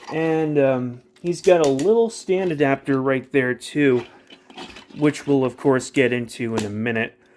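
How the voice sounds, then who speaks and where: The man's medium-pitched voice moves at a fairly slow pace with ordinary pitch variation. Background noise is noticeable. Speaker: toy reviewer. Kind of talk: toy review tutorial. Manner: halting.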